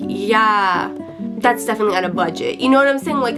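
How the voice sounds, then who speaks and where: Music plays in the background. The speaker talks at a fairly quick pace with ordinary pitch variation. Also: woman. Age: 20s. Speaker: lifestyle vlogger. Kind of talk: casual talk to camera. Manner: chatty, rambling, humorous.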